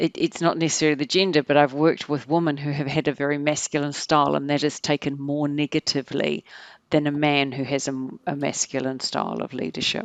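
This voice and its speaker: With a New Zealand accent, a woman talks in a very deep, low voice. Her intonation is monotone and flat, in a dry, close sound with no echo and a quiet background. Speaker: organizational psychologist. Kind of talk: podcast interview.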